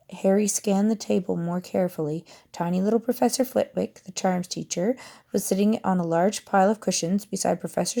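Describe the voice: What you hear is plain reading aloud.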